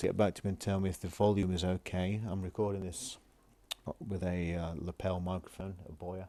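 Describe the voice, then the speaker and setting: A man speaks with a very deep, low pitch and a dark, mellow tone. His intonation stays fairly even. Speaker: retro computer hobbyist. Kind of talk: casual tech demo. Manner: normal volume, not shouting or whispering; hesitant, many fillers.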